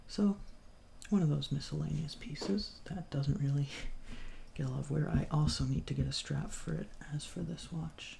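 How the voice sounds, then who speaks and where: Soft-spoken, a man talks at a moderate pace with long, frequent pauses. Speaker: ASMR creator, watch collector. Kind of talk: soft-spoken ASMR show-and-tell.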